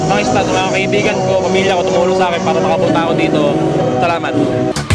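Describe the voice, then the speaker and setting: Loud music plays behind a man who speaks at a fairly quick pace, the voice itself dry with no echo. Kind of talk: interview answer. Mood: happy, thankful winner. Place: street.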